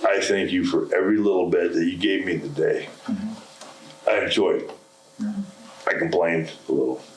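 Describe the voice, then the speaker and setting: Amid noticeable background noise and audible room echo, a man speaks at a moderate pace with very even loudness and long, frequent pauses. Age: 70s. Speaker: lepidopterist. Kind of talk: lecture; question and answer session. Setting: stage with audience.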